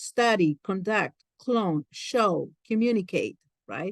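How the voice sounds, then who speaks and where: Speaking in a Peruvian accent, a woman talks at a fairly slow pace with a medium pitch and ordinary pitch variation. The sound is dry and close, with no echo. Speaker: career coach. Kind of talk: lecture.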